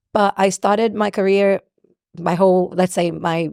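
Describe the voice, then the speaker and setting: At a moderate pace, a woman with a Portuguese accent speaks at a medium pitch with fairly even intonation, recorded very cleanly with a silent background and a dry, close sound free of echo. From Brazil. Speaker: singer and songwriter. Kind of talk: interview. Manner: loud.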